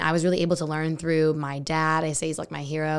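A woman with a very deep, low voice talks at a very fast pace in an American accent. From Texas. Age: 20s. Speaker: marketing agency co-owner. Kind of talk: interview. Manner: fast talker; animated.

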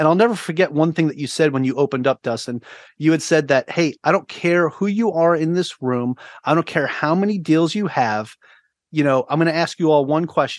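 At a fairly quick pace with ordinary pitch variation, the speaker is heard in a dry, close recording with no echo and a quiet background. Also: man, fairly high pitch for a man. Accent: New York. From Long Island, New York. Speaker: navy veteran, podcaster and real estate agent. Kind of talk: podcast interview. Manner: talkative.

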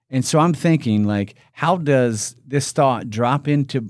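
This man talks at a fairly slow pace with a Midwestern US accent, on a very clean recording with a silent background. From Indiana. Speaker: company executive. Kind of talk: casual interview.

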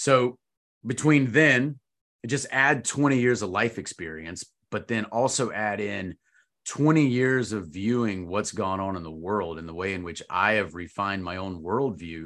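A man with an ordinary speaking voice talks at a fairly slow pace, his pitch fairly low and his intonation lively, over a quiet background. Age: 40s. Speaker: retired army officer and course instructor. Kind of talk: casual chat.

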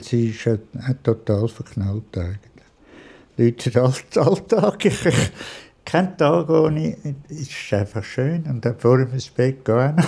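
Speaking very slowly with long, frequent pauses, a man uses a medium pitch, lively intonation and a dark, mellow, somewhat breathy tone. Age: 70s. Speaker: retiree. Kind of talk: interview.

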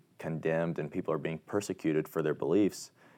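A man's very deep, low voice with a Midwestern American accent. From Indiana, US Midwest. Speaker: college student athlete. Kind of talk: interview. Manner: halting, many fillers and repeats.

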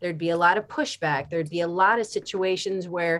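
Speaking at a moderate pace, a woman uses a plain, everyday voice. She has an American accent and a fairly low pitch. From Philadelphia, US. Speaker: art teacher. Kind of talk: interview.

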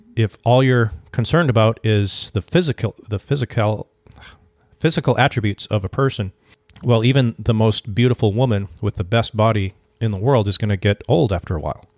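Here is a plain, everyday voice from a man at medium pitch with ordinary pitch variation. He goes at a fairly quick pace, the sound dry and close with no echo. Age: 40s. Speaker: podcast co-host. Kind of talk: casual chat.

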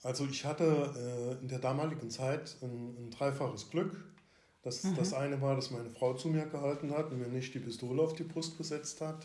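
Somewhat breathy and dark, mellow in tone, a man speaks at a moderate pace with fairly even intonation and audible room echo. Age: 60s. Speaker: retired police officer. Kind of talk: interview about personal mental health experience. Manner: halting, many fillers.

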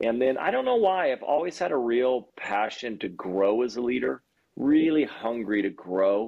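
An ordinary speaking voice, from a man at medium pitch. He moves at a moderate pace with lively intonation. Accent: American. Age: 40s. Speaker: pastor. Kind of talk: podcast interview.

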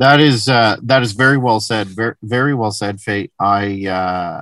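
A man talks in an ordinary speaking voice at a moderate pace. His intonation stays fairly even. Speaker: podcast host. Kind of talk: interview, scripted intro.

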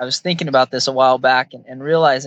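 A man with a fairly high pitch and a bright, sharp tone speaks in a flat monotone. The sound is dry and close, with no echo. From central Washington State, rural farm. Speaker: HR services company employee. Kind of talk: casual interview chat.

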